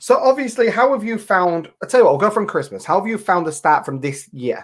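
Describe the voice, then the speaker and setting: A man speaks at a fairly quick pace in a high voice. His pitch swings very widely. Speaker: online talk show host. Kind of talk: casual chat. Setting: live video stream. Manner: animated.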